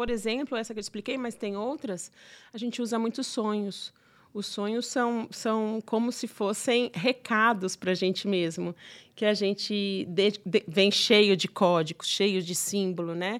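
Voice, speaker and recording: Recorded very cleanly against a silent background, the speaker has a plain, everyday voice, a fairly slow pace and ordinary pitch variation. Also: woman, fairly high pitch for a woman. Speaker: psychotherapist and gynecologist. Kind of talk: casual interview.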